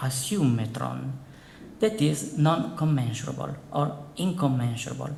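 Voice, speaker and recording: A man with an Italian accent speaks at a fairly slow pace with lively intonation. Audible room echo and noticeable background noise fill the recording. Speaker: philosophy professor. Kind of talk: lecture. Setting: conference hall with audience. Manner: formal.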